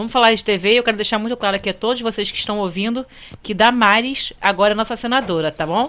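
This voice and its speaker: A very fast woman's voice at a fairly high pitch, with ordinary pitch variation and a bright, sharp tone. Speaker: podcast co-host. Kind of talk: casual chat.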